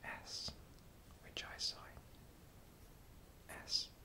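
Someone is whispering. The tone is calm. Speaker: sign language teacher. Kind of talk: soft-spoken instructional talk about sign language. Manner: soft-spoken, whispered, calm. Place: home room.

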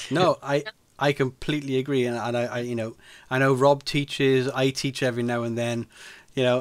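A man speaks fairly quickly in a monotone, flat intonation over a quiet background. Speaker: podcast host or guest. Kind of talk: casual podcast conversation, storytelling. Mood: amused, laughing anecdote. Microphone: studio mic.

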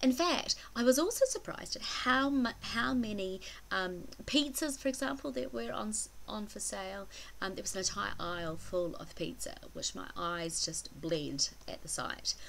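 Speaking at a moderate pace with a slight New Zealand accent, a woman's voice shows big swings in loudness. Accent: mild New Zealand. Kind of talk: casual vlog talk to camera.

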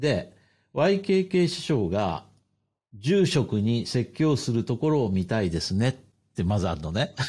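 Somewhat breathy and dark, mellow in tone, a man talks at a fairly slow pace in a medium pitch with very wide pitch swings. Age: 50s. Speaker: podcast host. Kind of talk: casual chat. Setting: remote call, three separate locations.

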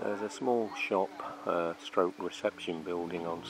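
Clear music plays in the background as a man speaks at a very deep, low pitch, the sound dry with no echo. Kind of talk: casual tour narration. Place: open country. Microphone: phone near.

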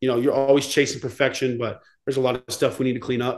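In an ordinary speaking voice, a man with an American accent talks at a fairly quick pace and medium pitch against a quiet background. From Texas. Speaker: college football player. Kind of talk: casual chat. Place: home room.

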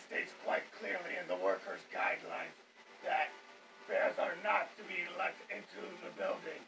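A man does a put-on character voice at a fairly slow pace. Background noise is clearly audible. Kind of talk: fan dub voice acting. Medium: fan dub. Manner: prim, officious, rule-quoting; politely menacing.

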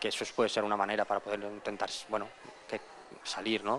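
A man speaks at a fairly low pitch. There is light background noise behind him. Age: 20s. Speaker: entrepreneur. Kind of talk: interview. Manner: halting, many repetitions. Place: shop. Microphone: handheld.

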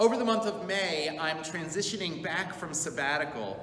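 With audible room echo, a man with a high pitch speaks with ordinary pitch variation. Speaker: congregation rabbi. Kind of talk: announcement to congregation. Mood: warm, upbeat. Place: church. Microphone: camera far.

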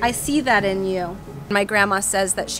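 Noticeable background noise sits under a woman speaking at a fairly quick pace. Her intonation is fairly even and the sound is dry with no echo. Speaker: real estate agent. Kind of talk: casual interview questions to camera. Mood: warm, cheerful. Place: garden. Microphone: phone near.

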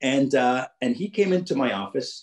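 Here a man talks at a fairly high pitch. The background is quiet. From Jamaica. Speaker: business executive and keynote speaker. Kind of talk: keynote speech. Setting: video call. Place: home room. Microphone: video call.

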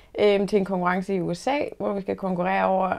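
A woman with a dark, mellow tone against a quiet background. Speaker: interviewee. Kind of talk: interview answer. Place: office.

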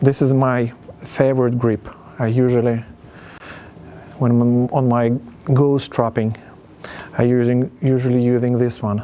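With long, frequent pauses, a man speaks at a fairly slow pace in a monotone, flat intonation. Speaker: self-styled ghost hunter. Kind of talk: casual vlog commentary. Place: garage.

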